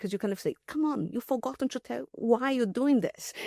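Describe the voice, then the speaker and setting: A woman's high-pitched voice with a Portuguese accent. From Brazil. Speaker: mathematician and logician. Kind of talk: podcast interview. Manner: halting, many fillers and restarts.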